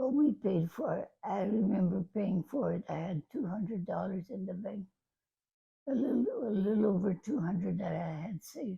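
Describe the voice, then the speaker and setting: Lively intonation with vocal fry. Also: woman, medium pitch for a woman, moderate pace. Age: 80s+. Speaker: grandmother. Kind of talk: interview answer.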